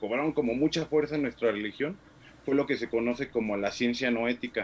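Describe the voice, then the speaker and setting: Using an ordinary speaking voice, a man talks at a fairly quick pace with ordinary pitch variation. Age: 30s. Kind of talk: discussion.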